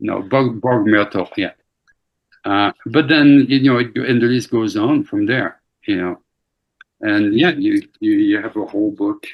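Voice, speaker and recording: A man speaks with a French accent at a fairly slow pace. He leaves long, frequent pauses. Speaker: brewer discussing historical brewing herbs. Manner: hesitant, many fillers.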